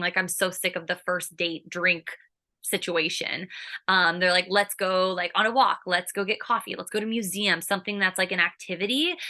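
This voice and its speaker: A woman's bright, sharp voice at a fairly quick pace, over a quiet background. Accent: American. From California. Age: 30s. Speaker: sobriety content creator. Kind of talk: podcast interview. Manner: animated.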